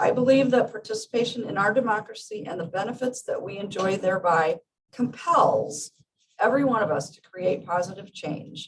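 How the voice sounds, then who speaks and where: A woman's normal speaking voice, fairly high in pitch, with lively intonation, big swings in loudness and a moderate pace. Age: 60s. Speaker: small farmer speaking at public comment. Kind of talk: prepared public comment read aloud. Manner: formal.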